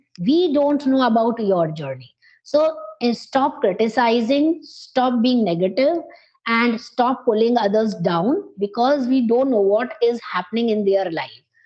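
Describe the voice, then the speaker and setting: Her pitch fairly high, a woman speaks fairly slowly with lively intonation. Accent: Indian. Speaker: English teacher. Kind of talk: coaching conversation.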